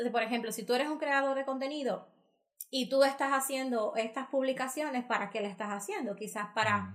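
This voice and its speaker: Fairly quick pace with ordinary pitch variation. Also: woman. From Dominican Republic. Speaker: marketing and digital business consultant. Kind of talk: podcast interview. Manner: animated.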